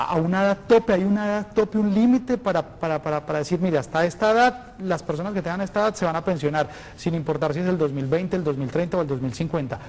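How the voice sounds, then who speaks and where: Amid noticeable background noise, a man with a high pitch and ordinary pitch variation talks at a very fast pace with hardly any pauses. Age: 20s. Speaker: TV magazine host. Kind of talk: live TV consultation show.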